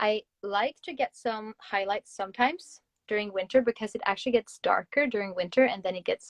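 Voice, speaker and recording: A woman speaks with a fairly high pitch and ordinary pitch variation. Her pace is moderate. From Norway. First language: Norwegian. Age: 20s. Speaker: Instagram influencer. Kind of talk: casual livestream chat.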